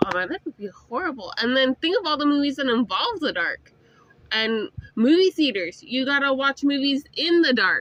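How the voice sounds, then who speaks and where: A woman's high voice with very wide pitch swings at a moderate pace, dry and close with no echo, over noticeable background noise. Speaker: podcast co-host. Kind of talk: casual chat. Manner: loud when excited.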